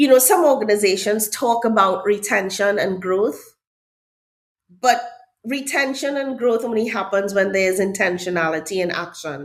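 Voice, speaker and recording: A woman with a Trinidadian accent speaks at a moderate pace and medium pitch with lively intonation, and the room echo is audible. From Trinidad and Tobago. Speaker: HR director. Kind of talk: podcast interview.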